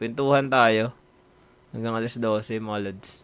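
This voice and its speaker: A man speaks with a Visayan accent at a medium pitch. His intonation is monotone and flat. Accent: Bisaya. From Visayas, Philippines. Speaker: live streamer. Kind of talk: casual live stream chat. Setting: live stream.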